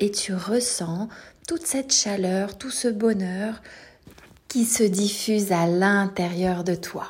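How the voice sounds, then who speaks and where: A woman speaks very slowly at a medium pitch, with ordinary pitch variation. Her tone is calm and soothing against noticeable background noise. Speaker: sophrologist. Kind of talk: guided meditation. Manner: slow, soothing, gentle; calm, reassuring, addressing a child as tu.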